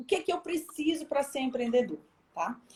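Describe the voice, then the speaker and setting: The voice has an animated tone with ordinary pitch variation. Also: woman. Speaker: professor, entrepreneur. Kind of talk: online talk on entrepreneurship. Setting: live video stream.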